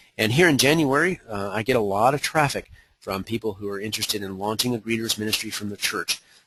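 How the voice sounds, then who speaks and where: A man's fairly low voice with a bright, sharp tone, at a very fast pace with ordinary pitch variation. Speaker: evangelism coach giving a webinar. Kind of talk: webinar presentation. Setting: online webinar.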